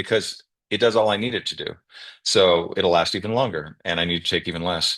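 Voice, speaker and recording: A man with a normal speaking voice, fairly low in pitch with ordinary pitch variation, talks at a fairly quick pace. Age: 60s. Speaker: guest sharing health experience. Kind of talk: testimony on video call. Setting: video call.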